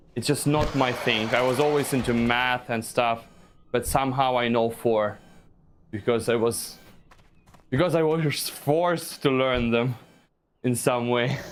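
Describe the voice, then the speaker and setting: With a Russian accent and very even loudness, a man speaks at medium pitch and a fairly slow pace, leaving long, frequent pauses. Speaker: gaming streamer. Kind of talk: live stream chat. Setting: live stream while playing a game. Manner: halting, repeats words.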